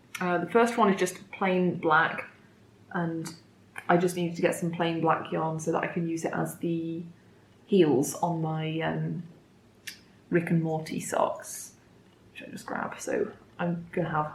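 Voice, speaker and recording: A woman speaks slowly-ish, fairly low in pitch, with fairly even intonation. Long, frequent pauses break her speech, and room echo is audible. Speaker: knitting podcaster. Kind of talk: casual chat.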